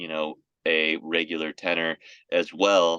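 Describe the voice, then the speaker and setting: A man with an American accent and a very deep, low pitch speaks in a bright, sharp tone, with a dry, close sound and no echo. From Florida. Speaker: singer. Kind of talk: interview.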